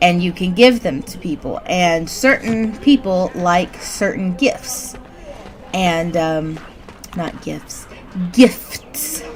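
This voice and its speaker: With an American accent, a woman at medium pitch talks at a very slow pace, her loudness swinging widely over noticeable background noise. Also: lively intonation. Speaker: gaming streamer. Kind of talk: gameplay commentary.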